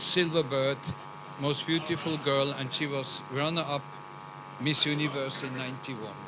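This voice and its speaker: Over noticeable background noise and audible room echo, a man speaks at a fairly high pitch. His intonation stays fairly even. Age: 70s. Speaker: guest at pageant. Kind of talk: red carpet interview. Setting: red carpet at live event.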